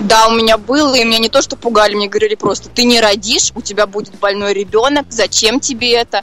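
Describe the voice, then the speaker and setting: A fairly high-pitched woman at a very fast pace with hardly any pauses and fairly even intonation, over noticeable background noise. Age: young. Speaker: young mother. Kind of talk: interview.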